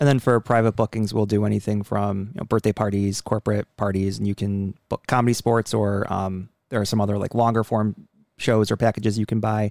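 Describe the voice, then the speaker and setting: On a very clean recording with a silent background and a dry, close sound with no echo, a man with an American accent speaks at a fairly quick pace in a fairly low pitch with monotone, flat intonation. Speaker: improv comedian and producer. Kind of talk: casual interview.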